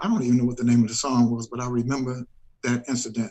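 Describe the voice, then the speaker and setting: At a fairly quick pace, a man with an American accent talks at a medium pitch with vocal fry. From Chicago, US Midwest. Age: 60s. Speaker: soul singer. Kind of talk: interview. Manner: halting, repeats words.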